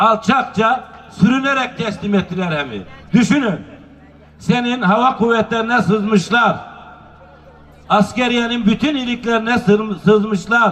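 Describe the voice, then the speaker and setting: Noticeable background noise surrounds a high-pitched man who talks at a fairly slow pace with ordinary pitch variation and long, frequent pauses. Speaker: public speaker at a nomad culture festival. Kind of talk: public speech. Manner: rousing, oratorical.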